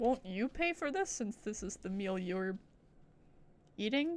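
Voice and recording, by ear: Her voice sits at a medium pitch, and this woman speaks at a fairly slow pace with lively intonation and a slightly mellow tone.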